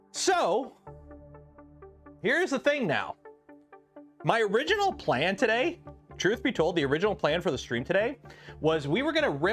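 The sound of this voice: Someone with a Canadian accent speaks with long, frequent pauses. Music plays in the background. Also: moderate pace.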